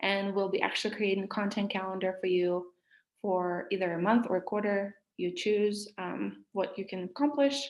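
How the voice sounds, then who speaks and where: A woman speaks with a Russian accent at a medium pitch. Her pace is moderate and her intonation fairly even. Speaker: social media marketing workshop leader. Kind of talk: online workshop presentation.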